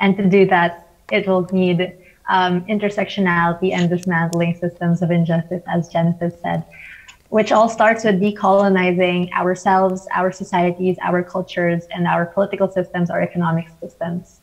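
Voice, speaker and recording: The woman speaks at a moderate pace. Her intonation stays flat and monotone. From Philippines. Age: 20s. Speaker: climate activist; panelist. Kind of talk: panel discussion. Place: home room. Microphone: earbuds.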